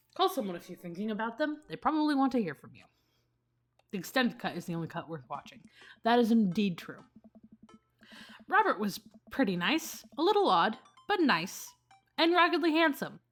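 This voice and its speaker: Over music in the background, a woman with a fairly high pitch talks at a fairly quick pace, with very wide pitch swings, big swings in loudness, and long, frequent pauses. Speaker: gaming streamer. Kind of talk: let's play commentary, reading game text aloud. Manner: fast.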